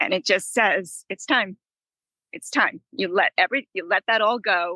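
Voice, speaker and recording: A woman with an American accent speaks at a moderate pace, her medium-pitched voice showing ordinary pitch variation. Her tone is bright and sharp, and the sound is dry and close with no echo. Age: 60s. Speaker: author and traveler. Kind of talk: casual chat.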